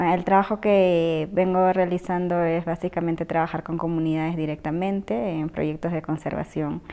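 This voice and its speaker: A woman with a dark, mellow tone and fairly low pitch talks at a moderate pace with hardly any pauses and fairly even intonation. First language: Asháninka (speaking Spanish). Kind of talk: interview testimony. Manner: hesitant, many fillers. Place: home room.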